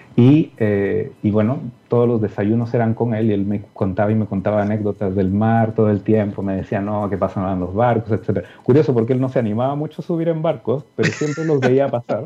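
A man of medium pitch talks at a fairly quick pace with hardly any pauses and ordinary pitch variation. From Peru (Lima). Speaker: physics professor. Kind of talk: interview. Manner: halting, repeats words.

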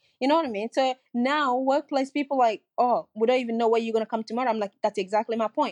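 A woman at a very fast pace with hardly any pauses, ordinary pitch variation, and a dry, close sound with no echo. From West Africa (Sierra Leone). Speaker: social worker and campaigner. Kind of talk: casual interview. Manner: loud, abrupt, animated.

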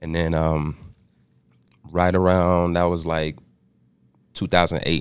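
A man with an American accent, very deep and low in pitch, monotone and flat, at a fairly slow pace with long, frequent pauses. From Austin, Texas. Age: 30s. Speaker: rapper. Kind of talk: casual interview chat.

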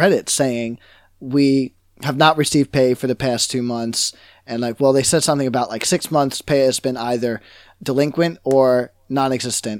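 With an American accent, a man in an ordinary speaking voice talks at a medium pitch and moderate pace, his intonation fairly even and the sound dry and close with no echo. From New York. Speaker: gaming podcast co-host. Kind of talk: casual chat.

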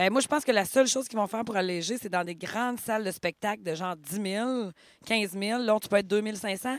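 A woman talks at a fairly quick pace in a Quebec accent. Her pitch is medium with ordinary variation. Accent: Québécois French. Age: 30s. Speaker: podcast co-host. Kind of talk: casual chat.

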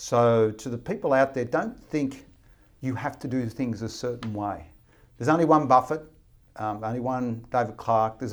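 A man with an Australian accent speaks at medium pitch and a moderate pace. The recording is very clean, with a silent background. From Australia, Riverina (rural New South Wales). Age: 50s. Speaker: fund manager. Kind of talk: interview.

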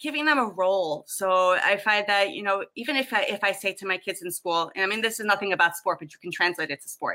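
Talking at a very fast pace, a woman leaves hardly any pauses. Her medium-pitched voice has a bright, sharp tone and ordinary pitch variation. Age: 30s. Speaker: weight-loss client, ESL teacher. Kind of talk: interview.

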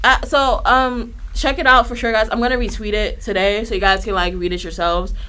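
An animated woman's voice, fairly high in pitch, fairly quick and with hardly any pauses, amid noticeable background noise and audible room echo. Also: lively intonation. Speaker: wrestling podcast co-host. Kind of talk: casual chat.

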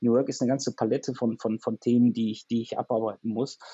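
Monotone, flat intonation from a man at a medium pitch. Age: 40s. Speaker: software company managing director. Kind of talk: interview. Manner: halting, many repetitions and fillers.

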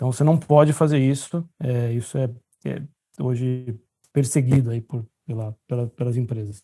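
At a moderate pace, a man speaks in a medium pitch with a dark, mellow, somewhat breathy tone and fairly even intonation. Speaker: orthopedic surgeon. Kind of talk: casual chat.

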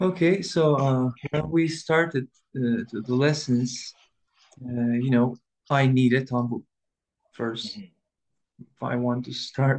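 A man speaks with a Turkish accent. His speech is broken by long, frequent pauses. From Istanbul, Turkey. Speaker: tanbur player, musician. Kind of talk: casual interview chat. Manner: halting, hesitant English with fillers.

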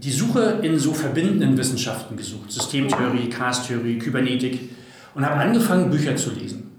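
Recorded with audible room echo and noticeable background noise, a man is speaking. His pitch is medium and his pace moderate. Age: 40s. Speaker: data and organisational development expert. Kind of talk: casual interview conversation.

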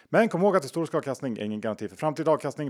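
Very wide pitch swings from a male speaker, captured on a very clean recording with a silent background. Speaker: podcast host. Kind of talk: casual chat.

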